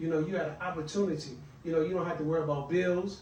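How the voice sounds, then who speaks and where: An American accent is heard with noticeable background noise and audible room echo. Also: man. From Washington DC. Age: 60s. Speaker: author and mentor. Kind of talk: podcast interview. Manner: halting, many fillers.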